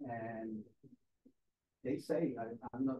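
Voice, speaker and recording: A man speaks with a Spanish accent. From Caribbean, Latin America. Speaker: university lecturer. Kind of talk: lecture. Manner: halting.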